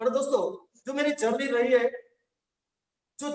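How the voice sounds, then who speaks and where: A man speaks in a monotone, flat intonation. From Gujarat, India. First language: Gujarati (speaking Hindi). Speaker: network marketing trainer. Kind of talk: motivational training talk. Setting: online session via link.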